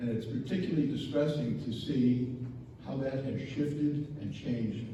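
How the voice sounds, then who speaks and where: The speech comes at a moderate pace with ordinary pitch variation, over noticeable background noise and audible room echo. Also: man. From Chicago, southeast side. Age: 70s. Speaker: resident giving public comment. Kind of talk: public comment.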